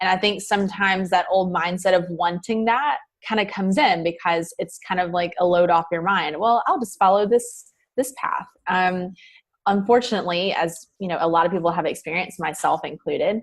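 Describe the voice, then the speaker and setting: In a Southern US accent, a woman talks at a fairly quick pace with a medium pitch and ordinary pitch variation. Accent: Southern US accent, noticeable. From US South. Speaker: mindset coach. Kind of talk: podcast interview. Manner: casual, many fillers.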